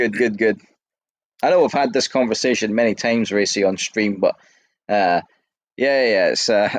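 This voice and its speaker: A man with an American accent talks at medium pitch and a moderate pace, with fairly even intonation and very even loudness. His speech has long, frequent pauses, and the sound is dry and close with no echo over a quiet background. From Scotland. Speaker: podcast host. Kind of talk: casual chat.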